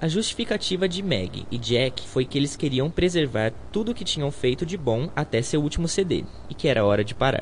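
Fairly high and somewhat breathy, a man's voice moves at a moderate pace with very wide pitch swings and hardly any pauses. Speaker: student radio host. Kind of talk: scripted narration.

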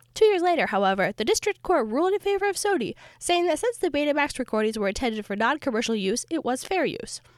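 A woman speaks very fast at a high pitch, with very wide pitch swings and hardly any pauses. The recording is very clean, with a silent background and a dry, close sound with no echo. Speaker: history podcast host. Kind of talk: scripted narration. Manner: formal.

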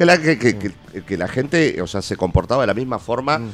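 A man with a medium pitch talks at a fairly quick pace. His pitch swings very widely. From Argentina. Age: 50s. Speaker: punk rock musician. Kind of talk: radio interview. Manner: halting.

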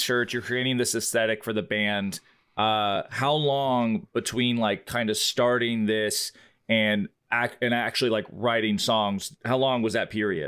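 Speaking at a fairly slow pace, a man with an ordinary speaking voice keeps medium pitch, ordinary pitch variation and very even loudness. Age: 30s. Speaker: podcast host. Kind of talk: casual chat.

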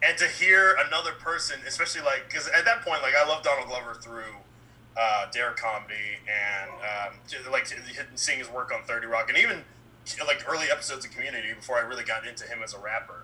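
A man in an American accent talks at a very fast pace, with big swings in loudness. There is noticeable background noise. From Baltimore, US. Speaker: filmmaker and writer. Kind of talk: casual chat. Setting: video call. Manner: soft-spoken.

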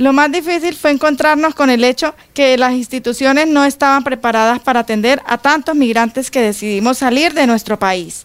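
A woman with a high voice and ordinary pitch variation talks at a moderate speed. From Venezuela. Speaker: migrant, program participant. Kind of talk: testimony.

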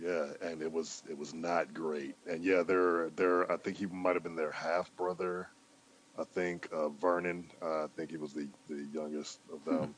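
With an American accent, a man speaks at a very deep, low pitch. His delivery is fairly slow, in a monotone, flat intonation. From Cleveland, Ohio, US. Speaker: podcast guest, hip hop fan. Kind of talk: casual chat.

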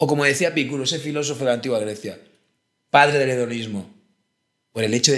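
A man with a fairly high pitch talks with lively intonation. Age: 30s. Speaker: philosopher. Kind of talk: casual chat.

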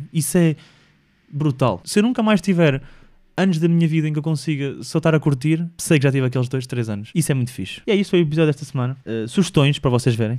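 A man with a European Portuguese accent, fairly high-pitched, dark and mellow in tone, very fast, with lively intonation, on a very clean recording with a silent background. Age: 20s. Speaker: podcast host. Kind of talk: solo casual monologue. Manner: animated.

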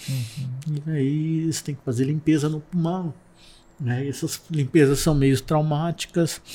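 The man's voice sits fairly high in pitch and carries a dark, mellow tone. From interior of São Paulo state, Brazil (Ourinhos). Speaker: civil engineer, illness survivor. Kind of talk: testimony.

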